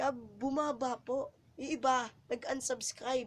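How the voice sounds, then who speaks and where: A woman is speaking. Her pitch shows ordinary variation. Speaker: vlogger. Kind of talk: casual vlog. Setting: at home at night, others sleeping. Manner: halting, repetitive; hushed, speaking quietly.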